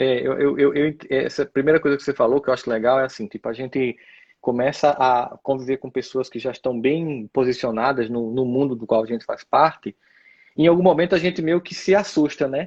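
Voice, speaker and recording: A man talks at a fairly quick pace in an unremarkable speaking voice. His pitch sits in the medium range with ordinary variation. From Northeast Brazil, Campina Grande, Paraíba. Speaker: speaker and lecturer. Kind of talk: casual chat. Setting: live stream.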